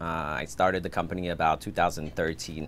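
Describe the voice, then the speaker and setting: This is a man speaking. He talks with a French accent. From France, Paris suburbs. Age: 30s. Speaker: filmmaker and production company owner. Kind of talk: podcast interview.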